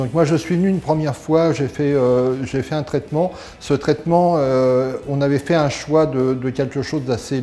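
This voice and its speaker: A man at a fairly slow pace, with a fairly high pitch and fairly even intonation. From France, near Geneva. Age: 60s. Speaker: dental patient. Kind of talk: testimonial. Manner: halting, many hesitations.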